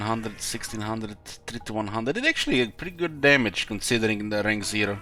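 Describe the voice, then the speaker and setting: A man talks at a very fast pace in a strong Russian accent. He leaves hardly any pauses, with music in the background. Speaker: game streamer. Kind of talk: live gameplay commentary.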